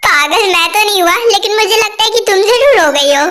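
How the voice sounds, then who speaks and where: A woman's put-on character voice, extremely high-pitched, with lively intonation at a very fast pace. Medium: fan dub. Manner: cheeky, joking.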